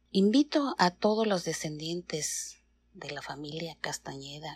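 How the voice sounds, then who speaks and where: Intonation is lively, though the pace is very slow. The recording is very clean, and the background is silent. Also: woman. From Mexico City. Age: 50s. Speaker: teacher. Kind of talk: recorded personal biography. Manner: formal.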